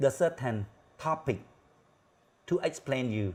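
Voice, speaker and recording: A somewhat breathy man's voice at a very slow pace, with very wide pitch swings. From Cambodia. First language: Khmer. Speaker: talk show host, critical thinking teacher. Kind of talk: show introduction monologue. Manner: halting.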